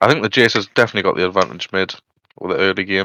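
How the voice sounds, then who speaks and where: With a Geordie accent, a man of fairly low pitch speaks at a very fast pace. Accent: northeast England (Geordie). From northern England, Newcastle. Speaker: esports caster. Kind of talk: live game commentary. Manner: casual, chatty.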